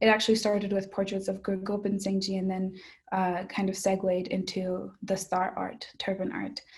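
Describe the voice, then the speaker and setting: A woman's somewhat breathy voice moves at a moderate pace, its intonation monotone and flat. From Mexico. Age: young. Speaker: budding artist. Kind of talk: interview answer.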